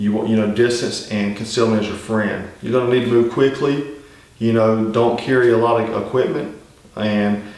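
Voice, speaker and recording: A man with a strong Southern US accent speaks at a moderate pace and a medium pitch with monotone, flat intonation. Noticeable background noise and audible room echo surround him. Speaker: survival channel host. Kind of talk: casual instructional talk. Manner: conversational, many fillers.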